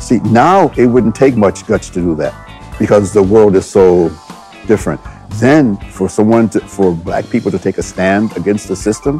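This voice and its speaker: A man talks at a moderate pace with ordinary pitch variation. He leaves long, frequent pauses, and faint music plays in the background. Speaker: martial arts teacher. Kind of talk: interview answer. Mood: reflective, admiring. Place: gym.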